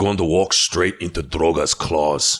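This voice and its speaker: A man's put-on character voice, growling at a very deep, low pitch and a moderate pace. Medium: read story. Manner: harsh, snarling.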